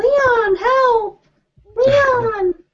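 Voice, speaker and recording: A female-sounding put-on character voice shouts at an extremely high pitch. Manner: screaming.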